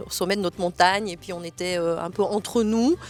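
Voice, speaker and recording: With ordinary pitch variation, a woman speaks at a medium pitch and moderate pace. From Switzerland, Valais (Haute-Nendaz). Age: 50s. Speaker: local resident, medical assistant. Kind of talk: interview. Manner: hesitant, many fillers.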